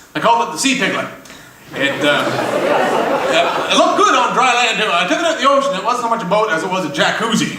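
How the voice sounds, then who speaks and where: A man with an extremely high pitch projects a raised voice at a fairly quick pace, his pitch swinging very widely. Audible room echo and noticeable background noise surround him. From Montreal, Quebec. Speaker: comedian. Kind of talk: stand-up. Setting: stage with audience.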